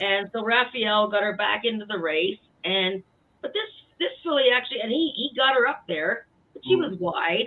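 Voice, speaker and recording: A woman with an ordinary speaking voice and fairly high pitch speaks at a moderate pace with lively intonation. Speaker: horse racing handicapper. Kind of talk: casual chat.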